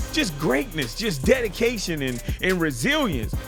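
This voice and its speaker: With music in the background, a man speaks at a fairly slow pace in a high pitch and an energetic tone. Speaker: sports commentary YouTuber. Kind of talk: casual talk to camera, sports news commentary. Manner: energetic, conversational.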